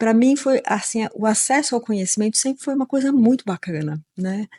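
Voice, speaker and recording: This woman has a fairly high pitch and a dark, mellow, somewhat breathy tone. She talks at a moderate pace with lively intonation. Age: 60s. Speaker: occupational therapist. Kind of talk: interview conversation. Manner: hesitant, many fillers.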